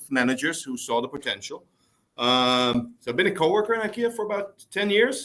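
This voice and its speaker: A man with a Dutch accent, bright and sharp in tone, at a fairly quick pace with very wide pitch swings. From Netherlands. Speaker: store manager. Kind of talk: interview.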